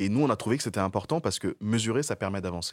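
A man speaks at a very fast pace with lively intonation. The recording is very clean, with a silent background. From Niger. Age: 30s. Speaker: corporate CSR manager. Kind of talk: interview. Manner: hesitant, repeats words.

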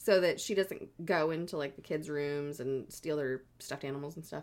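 A woman's very deep, low voice at a moderate pace with fairly even intonation on a very clean recording with a silent background. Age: 30s. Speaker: podcast co-host. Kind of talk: casual chat with storytelling.

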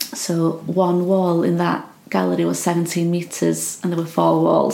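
A woman with a north Welsh accent, amid audible room echo and noticeable background noise. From Wales, Anglesey. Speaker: artist. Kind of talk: casual chat. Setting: home studio.

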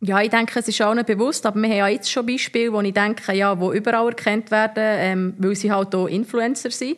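A woman with a plain, everyday voice and a fairly high pitch talks at a fairly quick pace with hardly any pauses, very even loudness and fairly even intonation against a quiet background. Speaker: former professional footballer. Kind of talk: casual interview.

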